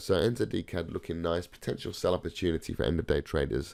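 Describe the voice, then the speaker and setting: The recording is very clean and the background silent. Speech moves at a moderate pace. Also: man. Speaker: forex trading educator. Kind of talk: tutorial. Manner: casual, hesitant with fillers.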